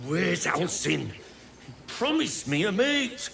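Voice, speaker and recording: A man puts on a character voice, going at a fairly slow pace against clear background noise. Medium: video game.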